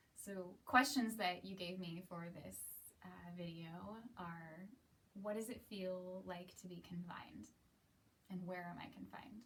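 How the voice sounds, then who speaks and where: Over audible room echo, a woman with an American accent speaks at a fairly slow pace with medium pitch. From US, Seattle. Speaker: aerialist and cabaret performer. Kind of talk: casual monologue to camera.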